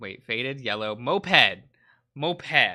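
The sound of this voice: Lively intonation marks an unforced reading voice heard over a quiet background.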